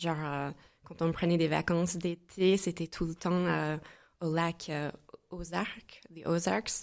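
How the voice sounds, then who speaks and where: A woman's fairly low voice in an American accent, very slow, with monotone, flat intonation. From US Midwest, St. Louis, Missouri. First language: English (speaking French). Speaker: entrepreneur and mastermind founder. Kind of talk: podcast interview. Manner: hesitant, many filler sounds.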